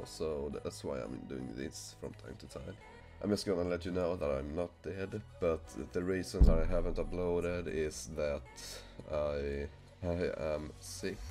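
Over music in the background, a man with a very deep, low pitch speaks at a fairly slow pace, his intonation lively and his loudness swinging widely. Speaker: gaming YouTuber. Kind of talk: casual talk to camera.

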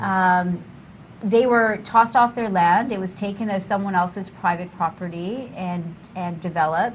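Speaking at a moderate pace, a woman with a Canadian accent has a medium pitch and ordinary pitch variation. Her voice is somewhat breathy, with light background noise. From Vancouver, Canada; British Columbia, Canada. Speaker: artist and activist; talk show guest. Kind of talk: casual interview. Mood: calm, earnest. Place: studio. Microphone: lapel.

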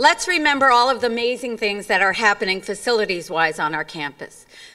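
Against a quiet background, a woman talks at a moderate pace. Her tone is bright and sharp. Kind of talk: formal speech. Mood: light, humorous. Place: stage. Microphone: podium.

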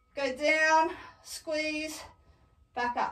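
Projecting a raised voice with a bright, sharp tone, a woman speaks at a very slow pace amid light background noise and audible room echo. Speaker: fitness instructor. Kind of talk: tutorial. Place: home room. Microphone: camera far.

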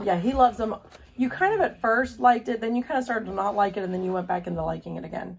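Noticeable background noise surrounds a woman who talks at a very fast pace. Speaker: homeschool mom. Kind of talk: casual product unboxing and flip-through.

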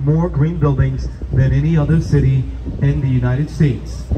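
A man talks at a moderate pace with noticeable noise behind him. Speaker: boat tour guide. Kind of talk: tour guide commentary. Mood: upbeat, playful. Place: boat.

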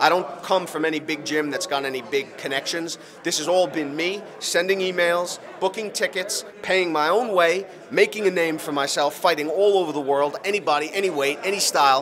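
With light background noise behind him, a man speaks at a moderate pace in a high pitch with ordinary pitch variation. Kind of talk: interview answer. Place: hall. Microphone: handheld.

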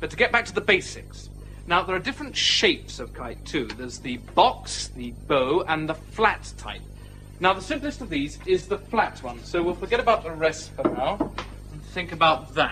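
Music plays in the background. The loudness swings widely. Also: man, moderate pace. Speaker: visiting teacher character in a drama. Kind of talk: scripted classroom lesson. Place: classroom.

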